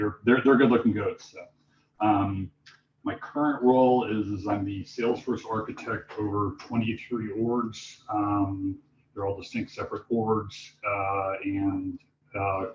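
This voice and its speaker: A man speaks at a fairly slow pace in a fairly low pitch, with fairly even intonation. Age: 50s. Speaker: Salesforce architect giving a talk. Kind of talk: presentation at user group meetup. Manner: loud; hesitant, many fillers.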